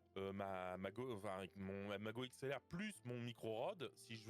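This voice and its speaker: A man speaks with music playing in the background. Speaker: stream viewer. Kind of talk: casual chat.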